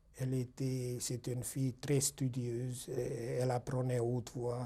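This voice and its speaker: A man speaks at a medium pitch and a moderate pace. His tone is dark and mellow and somewhat breathy. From Hungary. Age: 60s. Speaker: Holocaust survivor. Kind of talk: testimony interview. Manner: halting, with hesitations.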